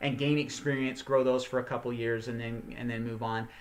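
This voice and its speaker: A man's bright, sharp-toned voice at a moderate pace. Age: 50s. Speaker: gardening channel host. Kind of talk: live online teaching session. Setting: live stream. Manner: casual, conversational with many fillers.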